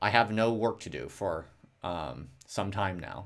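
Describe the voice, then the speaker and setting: His pitch sits fairly low, with ordinary variation. The man's voice carries vocal fry. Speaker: academic and livestreamer. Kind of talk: casual livestream talk. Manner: soft-spoken. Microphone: audio low, speaking close to mic.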